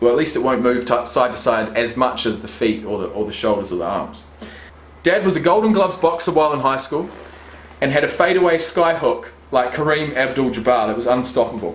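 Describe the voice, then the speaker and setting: In a room with audible echo, a man of medium pitch talks at a fairly quick pace with lively intonation. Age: 20s. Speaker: YouTuber and rugby player; YouTuber. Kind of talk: casual vlog unboxing. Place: home room. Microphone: webcam.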